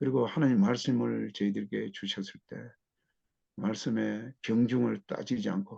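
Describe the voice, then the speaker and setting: A man speaks at a fairly slow pace. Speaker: missionary. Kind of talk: testimony.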